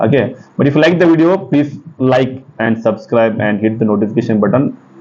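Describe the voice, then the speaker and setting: Noticeable background noise sits behind a man speaking at medium pitch with lively intonation. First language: Kannada. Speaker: chemistry teacher. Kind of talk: exam-prep lecture. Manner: fast; halting, with many fillers.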